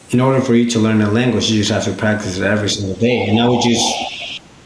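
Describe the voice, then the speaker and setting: Delivered at a very fast pace in a monotone, flat intonation, the speech carries a Spanish accent, with audible room echo and noticeable background noise. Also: man. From Peru. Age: 20s. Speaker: business owner. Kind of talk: podcast interview.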